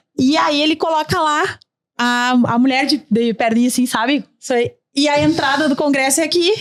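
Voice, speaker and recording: A woman's animated voice at high pitch, with ordinary pitch variation, moderate pace and very even loudness. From Rio Grande do Sul, Brazil (São Gabriel). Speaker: tourism park founder. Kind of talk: podcast panel conversation. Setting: studio.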